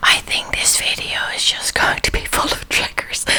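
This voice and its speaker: Fairly slow whispering from a woman, with noticeable background noise behind it. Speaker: artist and ASMR video creator. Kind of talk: ASMR whispered talk with drawing. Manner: soft.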